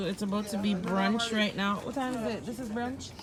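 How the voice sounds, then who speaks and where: Speaking at a moderate pace, a woman is heard over noticeable background noise, with audible echo in the room. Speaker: vlogger. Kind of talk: casual vlog chat. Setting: outdoors camping. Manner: animated.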